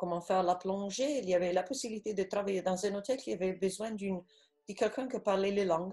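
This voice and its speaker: A woman speaks at medium pitch with an Italian accent while music plays in the background. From Italy. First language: Italian (speaking French). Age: 40s. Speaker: shark diver. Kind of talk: interview. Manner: halting.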